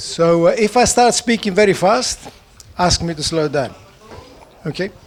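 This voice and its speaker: In a Greek accent, a man speaks at a high pitch and a moderate pace. His pitch varies in an ordinary way, and there is noticeable background noise. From Greece. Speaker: economist. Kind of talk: conference talk. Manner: speeds up when excited.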